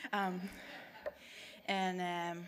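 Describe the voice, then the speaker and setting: A woman speaks with a Spanish accent at a medium pitch. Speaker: adult poet. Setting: stage with audience.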